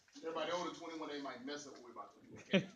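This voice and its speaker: There is audible room echo. Noticeable background noise runs underneath. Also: man. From East St. Louis, Illinois. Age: 40s. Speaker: motivational speaker. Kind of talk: motivational speech to youth. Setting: youth forum with audience. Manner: animated.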